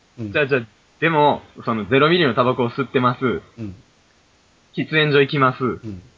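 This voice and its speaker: A man at medium pitch, ordinary pitch variation, moderate pace, and long, frequent pauses. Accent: Kansai. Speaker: podcast co-host. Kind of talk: casual chat.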